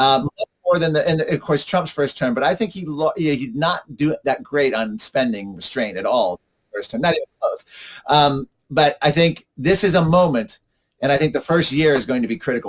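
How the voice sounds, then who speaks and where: A man with an American accent talks at a fairly quick pace. His pitch is fairly high and his intonation lively. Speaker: climate policy commentator. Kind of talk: interview. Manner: fast; animated.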